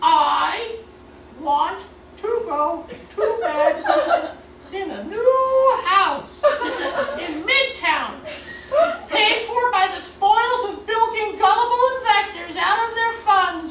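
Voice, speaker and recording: A put-on character voice comes at an extremely high pitch and a very slow pace, with long, frequent pauses. Slight echo and clear background noise are present. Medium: comedy sketch. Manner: terse, parroting.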